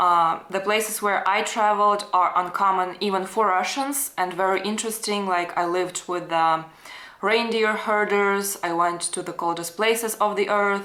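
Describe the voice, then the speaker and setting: Audible room echo follows a woman whose bright, sharp tone carries a fairly even intonation. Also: medium pitch for a woman, moderate pace. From Russia. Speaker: travel YouTuber. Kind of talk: interview.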